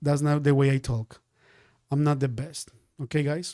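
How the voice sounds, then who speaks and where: A man with a Spanish accent speaks in a dark, mellow tone at fairly high pitch. The sound is dry and close, with no echo. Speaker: day trading teacher. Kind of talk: live-stream trading class. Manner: animated.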